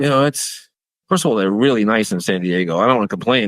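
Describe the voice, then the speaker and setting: The man's voice is fairly low, with ordinary pitch variation. He talks very fast. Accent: New York. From New York City, Queens. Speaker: baker and bakery owner. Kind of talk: podcast interview. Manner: animated.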